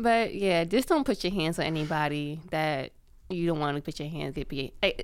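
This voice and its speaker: In a very clean recording with a silent background, a woman with an ordinary speaking voice talks at a fairly low pitch with lively intonation. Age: 20s. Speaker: podcast co-host. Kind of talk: casual chat.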